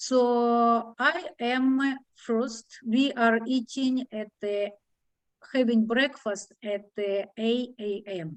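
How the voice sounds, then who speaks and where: Her intonation fairly even, a woman talks in a fairly high pitch. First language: Russian. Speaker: discussion group leader. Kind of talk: online group discussion. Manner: halting, many fillers.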